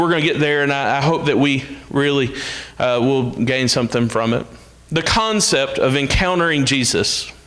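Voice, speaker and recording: A man with an Alabama accent talks at a fairly quick pace with lively intonation, amid audible room echo and noticeable background noise. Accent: Southern US (Alabama). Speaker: minister. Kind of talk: sermon. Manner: loud.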